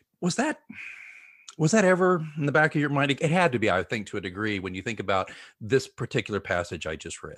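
Very fast talk with vocal fry and very wide pitch swings, on a very clean recording with a silent background. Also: man, fairly high pitch for a man. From Oklahoma. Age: 50s. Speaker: podcast host. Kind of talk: interview; show outro. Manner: halting.

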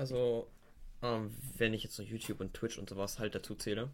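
A man speaks at a medium pitch. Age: young. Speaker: guest. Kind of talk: casual chat.

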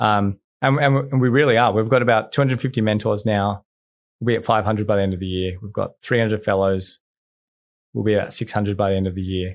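A man talks at a very fast pace with an Australian accent. His pitch is fairly low and his intonation fairly even. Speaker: nonprofit founder and CEO. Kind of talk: casual interview. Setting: studio with headphones.

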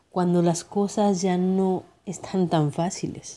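Very clean recording with a silent background, a woman at a very slow pace, her tone dark and mellow, her pitch medium. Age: 30s. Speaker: podcast host. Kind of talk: motivational monologue.

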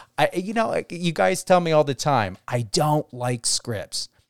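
A man speaks at a fairly slow pace and fairly high pitch, with lively intonation. The sound is dry and close with no echo, in a very clean recording with a silent background. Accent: New Jersey. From New Jersey, US. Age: 40s. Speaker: radio host. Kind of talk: radio interview.

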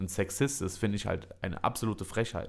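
A man speaks in a normal speaking voice at a medium pitch. The recording is very clean, with a silent background. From Germany, Düsseldorf. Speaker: podcast host and comedy show organizer. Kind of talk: casual chat.

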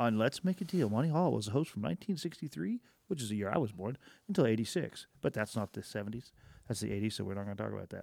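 Very fast and medium-pitched, a man talks with vocal fry and very wide pitch swings, in a dry, close sound with no echo and a very clean recording with a silent background. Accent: American. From Oklahoma. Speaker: podcast co-host. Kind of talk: casual chat. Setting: studio.

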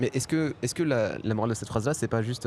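A man speaks very fast at a medium pitch. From France, Paris. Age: 20s. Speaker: stand-up comedian and podcast host. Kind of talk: casual chat. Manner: hesitant, many repetitions.

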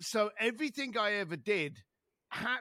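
A man's raised, projected voice, bright and sharp, swinging very widely in pitch, dry and close with no echo, on a very clean recording with a silent background. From East London. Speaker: author and speaker. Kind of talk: casual interview.

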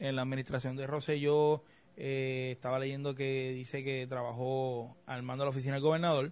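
A man with an unremarkable speaking voice talks at a moderate pace, his pitch fairly high. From Puerto Rico. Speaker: political scientist podcast host. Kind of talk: casual chat.

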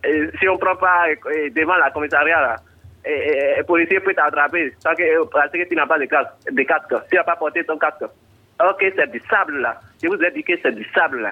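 At a fairly slow pace, a man with a high pitch talks with ordinary pitch variation. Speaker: caller. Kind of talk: phone call to radio show. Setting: phone call.

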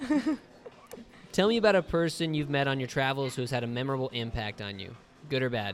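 Speaking very fast with lively intonation, a man with an American accent leaves long, frequent pauses. Noticeable background noise runs underneath. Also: medium pitch for a man. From United States. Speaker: travel podcast host, English teacher. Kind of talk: casual interview chat. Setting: outdoors at open-air hostel.

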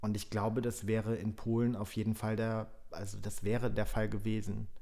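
The voice has a dark, mellow tone and a flat, monotone delivery at a moderate pace. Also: man. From German-Polish border area (Frankfurt an der Oder). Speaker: podcast guest, film festival worker. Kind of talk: casual chat.

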